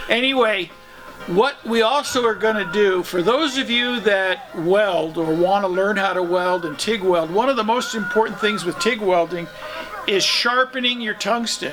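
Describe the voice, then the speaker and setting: Noticeable background noise surrounds a man with a high pitch. He keeps a moderate pace with ordinary pitch variation. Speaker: Vietnam veteran and mechanic. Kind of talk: casual chat.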